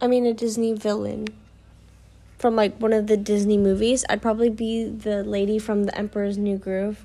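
A woman with a fairly high pitch and a dark, mellow tone speaks at a moderate pace. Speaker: podcast host. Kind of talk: casual solo podcast monologue. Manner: stuttering, filler words; casual, rambling.

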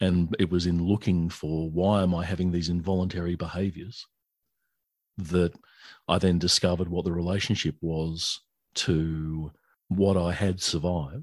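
Flat, monotone delivery at a moderate pace with an Australian accent. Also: man, very deep, low pitch for a man. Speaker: author and songwriter. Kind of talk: interview.

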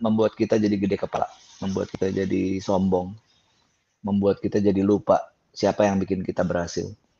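Moving at a fairly quick pace, this is a plain, everyday voice. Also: man. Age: 50s. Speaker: gospel singer and songwriter. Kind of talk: testimony. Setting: video call.

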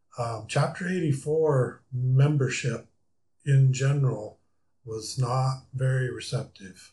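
Speaking very slowly with an American accent, a man has a dark, mellow tone, a somewhat breathy quality and fairly even intonation. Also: medium pitch for a man. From US Midwest, rural South Dakota. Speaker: aviation club member, homebuilt plane builder. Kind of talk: casual interview. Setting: studio.

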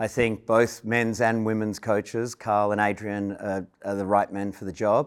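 On a very clean recording with a silent background, a man with an Australian accent speaks at a moderate pace and a fairly low pitch. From Australia (Melbourne). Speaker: sports club chair. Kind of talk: interview.

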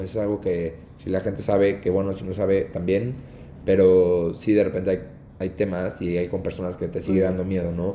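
A man's very deep, low voice with a Mexican accent, at a fairly quick pace and with fairly even intonation. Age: 20s. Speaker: wedding videographer and entrepreneur. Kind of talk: casual interview chat.

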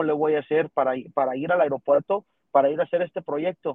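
A man talks at a moderate pace in a fairly high pitch with fairly even intonation. It is a plain, everyday voice. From Texas border region (Rio Grande Valley). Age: 20s. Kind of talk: interview testimony.

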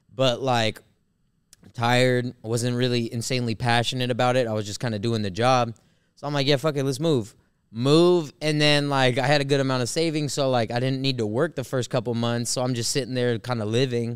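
A man speaks in a plain, everyday voice at a medium pitch with fairly even intonation. The recording is very clean, with a silent background. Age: 30s. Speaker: DJ and podcast co-host. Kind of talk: casual chat.

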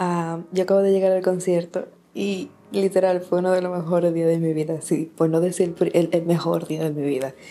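In a Dominican accent, a woman talks at a moderate pace with a fairly low pitch and monotone, flat intonation. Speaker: podcast staff member. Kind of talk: recorded voice message.

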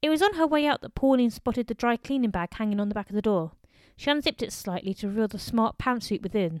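Simply plain reading aloud

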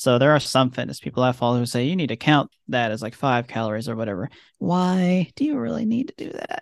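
A man talks in a normal speaking voice at medium pitch. He keeps a fairly quick pace with ordinary pitch variation. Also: quiet background. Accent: American. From US Midwest. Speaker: podcast guest, former co-host. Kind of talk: casual chat.

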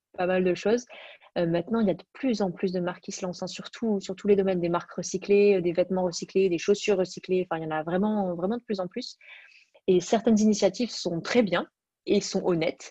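A woman speaks at a fairly quick pace with fairly even intonation and a medium pitch. Her tone is dark and mellow, and the sound is dry and close with no echo. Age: 20s. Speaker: fashion entrepreneur. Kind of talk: interview.

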